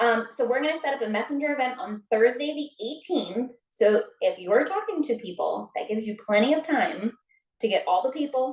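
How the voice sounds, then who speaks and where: A woman's high voice at a fairly quick pace, with lively intonation. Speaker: network marketing team member. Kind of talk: team meeting on video call. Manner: fast.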